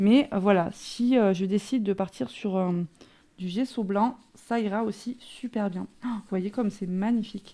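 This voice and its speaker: A woman speaks at a fairly slow pace with ordinary pitch variation. Her tone is dark and mellow. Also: medium pitch for a woman. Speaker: crafting youtuber. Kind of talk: product haul and demo. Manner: hesitant, many fillers.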